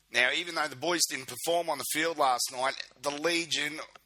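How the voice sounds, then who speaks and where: In an Australian accent, a man delivers his words at a moderate pace. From Queensland, Australia. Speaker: fan club video podcast host. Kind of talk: casual video podcast monologue. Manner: informal, filler-heavy.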